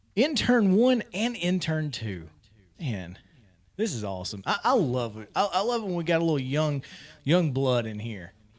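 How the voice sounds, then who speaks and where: Animated in tone, a man with a Southern US accent speaks at a moderate pace and fairly high pitch, with very wide pitch swings. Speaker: sports radio show host. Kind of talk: casual sports talk show.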